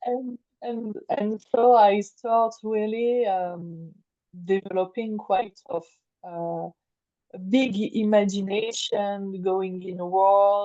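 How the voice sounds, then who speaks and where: A woman at a very slow pace, medium-pitched, in a French accent with fairly even intonation. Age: 40s. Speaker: creative life coach. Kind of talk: interview. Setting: remote call. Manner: halting, many hesitations and repeats.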